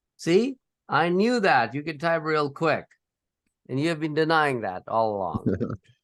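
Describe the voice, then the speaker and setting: A man talks at a fairly slow pace in a fairly high pitch with very wide swings. The sound is dry and close with no echo, over a quiet background. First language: not English. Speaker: professor. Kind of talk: lecture.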